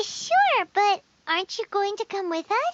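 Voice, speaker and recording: In a put-on character voice, someone speaks with a squeaky, extremely high pitch, an energetic tone and a moderate pace. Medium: video game. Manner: energetic, chatty.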